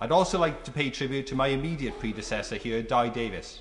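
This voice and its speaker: A man with a South Wales Valleys accent, somewhat breathy, medium in pitch, with ordinary pitch variation and a fairly quick pace. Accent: South Wales Valleys Welsh English. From South Wales Valleys (Tredegar). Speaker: member of parliament. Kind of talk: parliamentary maiden speech. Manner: formal.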